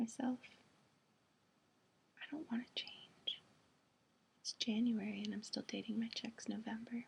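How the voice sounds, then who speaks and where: The speaker is whispering and soft-spoken at a fairly slow pace. Long, frequent pauses break up the speech. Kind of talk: poetry reading. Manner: soft-spoken, whispering.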